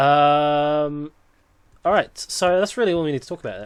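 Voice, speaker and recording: The speaker is a man. His pitch is fairly high. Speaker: music producer. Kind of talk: tutorial. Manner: fast.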